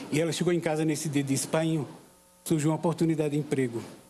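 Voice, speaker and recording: A man with a high pitch and fairly even intonation, over noticeable background noise. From Paraíba backlands, Brazil. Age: 60s. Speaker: call center employee. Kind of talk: personal testimony speech. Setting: inauguration ceremony with audience.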